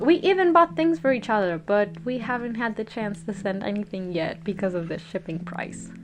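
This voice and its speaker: Music plays in the background as a woman talks with hardly any pauses. Her pitch varies in an ordinary way. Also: medium pitch for a woman, moderate pace. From Peru. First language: Spanish. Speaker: content creator. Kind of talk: storytime narration.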